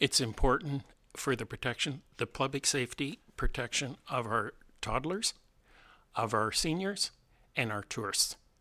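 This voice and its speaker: A man with a Canadian accent speaks at a moderate pace and medium pitch, in a bright, sharp tone with lively intonation and long, frequent pauses. The recording is very clean, with a silent background and a dry, close sound with no echo. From Southern Ontario, Canada. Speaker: local election candidate, retired airline pilot. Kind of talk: radio interview. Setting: radio studio.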